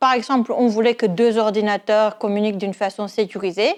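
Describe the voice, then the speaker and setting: Over a quiet background, a woman with a slight non-native accent speaks at a fairly slow pace and a fairly high pitch. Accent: slight foreign accent in French. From Netherlands. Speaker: university lecturer and cryptography researcher. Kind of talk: research pitch presentation. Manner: some hesitations and fillers.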